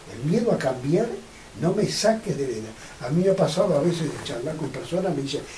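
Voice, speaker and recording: The speech moves at a fairly quick pace with lively intonation. Noticeable background noise and audible room echo are present. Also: man, fairly high pitch for a man. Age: 80s+. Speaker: pioneer of a UFO contact group. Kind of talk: interview.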